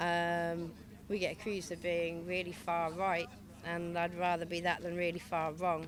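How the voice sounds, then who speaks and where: Amid audible room echo, a woman with a fairly low pitch talks at a moderate pace in a monotone, flat intonation. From England, Leicester. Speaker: protest speaker, activist. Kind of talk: protest speech.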